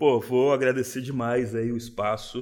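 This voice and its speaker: At a fairly slow pace, a man speaks at a medium pitch with monotone, flat intonation. The recording is very clean and the background silent. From São Paulo city, Brazil. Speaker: craft beer bar owner. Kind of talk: casual interview.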